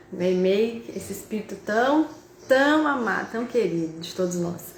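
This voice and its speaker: A woman talks amid noticeable background noise and audible room echo. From interior of São Paulo state, Brazil (Tupã). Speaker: spiritist speaker and university professor. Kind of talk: spiritist talk on a live video call. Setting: video call (Zoom and Instagram live).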